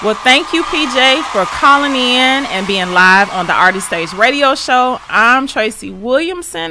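A fairly slow pace over light background noise. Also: woman. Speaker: radio show host. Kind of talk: radio interview hosting. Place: studio. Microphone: studio mic.

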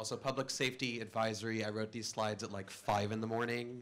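Light background noise sits behind this man's voice. His intonation is monotone and flat. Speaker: conference speaker. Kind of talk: conference talk. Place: hall. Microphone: podium.

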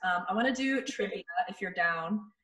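A woman's fairly high voice carries lively intonation. Room echo is audible, over a quiet background. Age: 30s. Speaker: radio host and video show host; radio host, video show host. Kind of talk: reading quiz questions aloud; casual chat. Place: home room. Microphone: video call.

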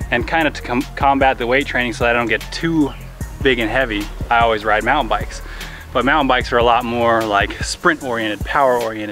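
A man talks very fast with fairly even intonation. The sound is dry with no echo, and faint music plays behind him. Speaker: athlete vlogger. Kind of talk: casual vlog chat. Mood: cheerful, laughing. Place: street. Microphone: camera far.

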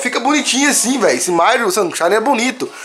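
A man talks at a very fast pace with very wide pitch swings. Light background noise can be heard. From Brazil. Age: 20s. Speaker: gaming youtuber. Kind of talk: gameplay review video. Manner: casual slangy; animated. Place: home room. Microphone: phone near.

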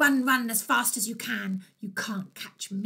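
The speaker uses plain reading aloud. Pitch variation is ordinary.

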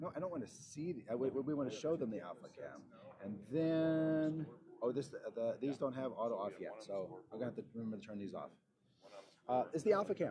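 Amid noticeable background noise, a man speaks at a fairly quick pace, somewhat breathy, with a dark, mellow tone. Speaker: live stream host. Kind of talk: casual live stream commentary. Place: hall. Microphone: lapel.

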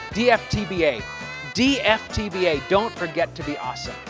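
Clear music plays in the background. A man speaks at a fairly quick pace. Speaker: motivational speaker and comedian. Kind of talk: motivational keynote talk. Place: stage. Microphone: handheld.

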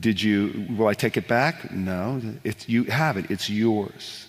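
This man's voice is fairly low, with ordinary pitch variation. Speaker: worship leader and author; interview guest. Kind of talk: interview answers on stage. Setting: live broadcast in a church with audience. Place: stage.

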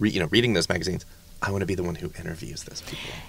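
A man is speaking. The sound is dry, with no echo. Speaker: podcast host. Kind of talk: casual interview. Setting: studio. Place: studio.

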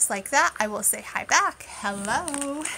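The intonation is lively, with an animated tone. The voice is raised and projected over light background noise. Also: woman. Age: 30s. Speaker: live-stream unboxing creator. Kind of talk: casual live stream chat. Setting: live stream. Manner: chatty, animated. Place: home room. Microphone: phone near.

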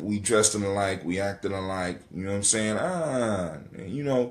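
An ordinary amount of pitch variation at a moderate pace. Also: man, fairly low pitch for a man.

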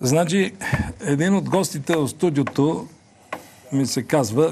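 A somewhat breathy male voice, dark and mellow in tone, with very wide pitch swings, a fairly slow pace and light background noise. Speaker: TV show host. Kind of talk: TV host introduction. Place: studio. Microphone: lapel.

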